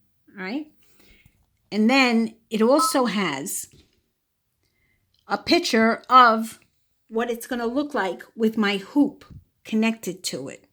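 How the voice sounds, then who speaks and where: In a Brooklyn accent, a woman with a bright, sharp tone talks very slowly with lively intonation and long, frequent pauses, on a very clean recording with a silent background. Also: fairly high pitch for a woman, big swings in loudness. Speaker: sewing channel creator. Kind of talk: tutorial. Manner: casual, hesitant with fillers.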